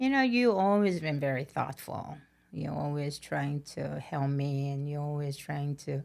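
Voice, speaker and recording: Fairly slow and very deep, low in pitch, a woman with a non-native accent speaks with ordinary pitch variation. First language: not English. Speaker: podcast host's mother. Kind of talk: interview.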